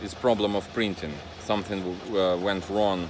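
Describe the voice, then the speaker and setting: A man's very deep, low voice at a fairly slow pace, over noticeable background noise. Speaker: motorcycle hobbyist vlogger. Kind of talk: casual video blog, hands-on demo. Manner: halting, many fillers and repeats.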